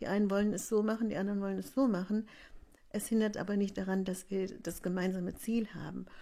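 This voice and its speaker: A woman with a dark, mellow tone and a medium pitch speaks at a fairly quick pace in a monotone, flat intonation, captured on a very clean recording with a silent background. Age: 60s. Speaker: village activist. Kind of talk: interview. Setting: living room.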